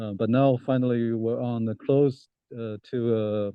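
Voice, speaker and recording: Flat, monotone male speech at medium pitch in a Chinese accent. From China (Shanghai). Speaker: political science professor. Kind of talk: interview. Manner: halting, many fillers.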